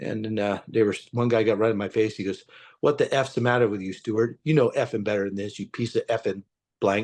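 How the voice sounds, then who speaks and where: A man with an American accent talks at a medium pitch and fairly quick pace against a quiet background. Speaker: retired police officer and whistleblower. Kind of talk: testimony. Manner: animated.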